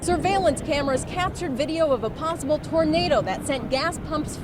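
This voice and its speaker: A woman at a moderate pace, with crowd noise in the background. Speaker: TV news reporter and anchor. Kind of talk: TV news field report.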